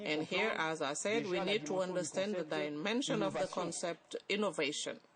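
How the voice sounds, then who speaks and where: A moderate pace beneath noticeable background noise. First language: not English. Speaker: summit panelist. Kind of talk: panel discussion. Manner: halting.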